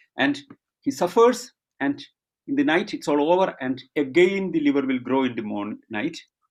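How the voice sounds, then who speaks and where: This man speaks with a Keralan accent. His pace is moderate and his intonation lively. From India, Kerala. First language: Malayalam. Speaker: rationalist speaker. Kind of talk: online Q&A answers. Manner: halting with fillers.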